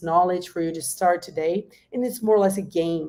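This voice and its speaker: The voice has a dark, mellow tone and a Brazilian Portuguese accent. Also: woman. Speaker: industry guest speaker. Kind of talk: workshop presentation. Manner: halting.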